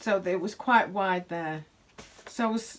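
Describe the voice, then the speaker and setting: A woman with a British accent. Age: 60s. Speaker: sewing vlogger. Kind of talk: casual chat. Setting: home sewing workshop. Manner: halting.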